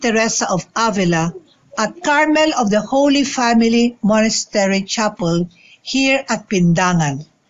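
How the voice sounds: With lively intonation, a woman speaks at a fairly slow pace and a fairly high pitch.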